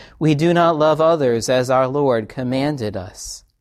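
A man with an ordinary speaking voice at a fairly slow pace. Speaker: pastor. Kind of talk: liturgical prayer and absolution, service. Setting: church. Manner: solemn, reverent; fervent, earnest prayer.

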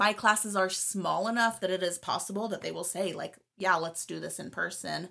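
A woman talks at a moderate pace and medium pitch with hardly any pauses. Her tone is bright and sharp, with vocal fry and fairly even intonation. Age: 20s. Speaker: podcast co-host. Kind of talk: casual chat. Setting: home recording, separate rooms.

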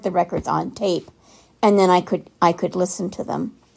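With an American accent, a woman in an ordinary speaking voice talks at a moderate pace with fairly even intonation, in a very clean recording with a silent background. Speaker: listener contributor. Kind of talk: recorded voice message.

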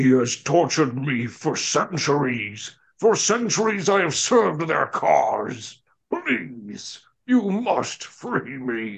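A man puts on a character voice, fairly high-pitched and swinging very widely in pitch, delivered at a very slow pace. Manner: pathetic, whining, pleading.

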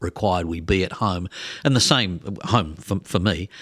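This man has a very deep, low pitch. The sound is dry and close with no echo, on a very clean recording with a silent background. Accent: Australian. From Australia. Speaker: podcast co-host, former sports TV presenter. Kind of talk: casual interview chat.

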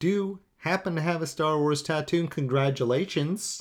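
A very clean recording of a male speaker against a silent background. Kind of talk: game show host quiz-style banter, reading scored trivia questions with jokes.

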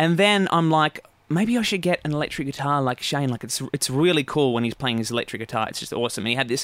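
A man with an Australian accent speaks very fast with hardly any pauses, his fairly high voice carrying lively intonation. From Phillip Island, Victoria, Australia. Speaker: guitar teacher. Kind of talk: casual interview chat.

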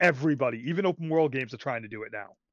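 Over a quiet background, a man with a fairly high voice races along at a very fast pace with lively intonation. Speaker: podcast co-host discussing video games. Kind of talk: casual chat. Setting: voice chat on Discord. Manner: loud; animated.

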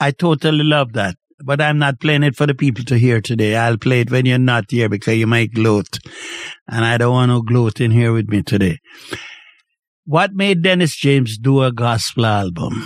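With a plain, everyday voice, a man speaks at a moderate pace and medium pitch with ordinary pitch variation. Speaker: radio host. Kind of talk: casual interview chat. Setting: video call. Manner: jovial, joking, talkative.

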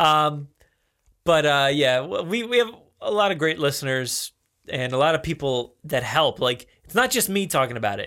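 A man with an American accent speaks at a moderate pace in a bright, sharp tone, his fairly high pitch making very wide swings on a very clean recording with a silent background. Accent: New Jersey, used here more than at work. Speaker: podcast host. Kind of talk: casual chat. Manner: casual, slangy delivery.

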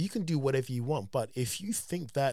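A man's moderate pace with very wide pitch swings. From London, England. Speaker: dance company founder and mentor. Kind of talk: casual interview conversation.

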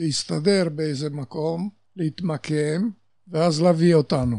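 A man with a Polish accent speaks very slowly in a fairly high voice, and his pitch varies in an ordinary way. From Poland (Warsaw). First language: Polish (speaking Hebrew). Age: 80s+. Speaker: Holocaust survivor. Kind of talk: testimony.

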